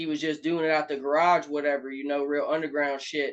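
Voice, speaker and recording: A man's fairly high, flat, monotone voice at a fairly quick pace. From Alabama, US South. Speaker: rapper. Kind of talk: casual interview.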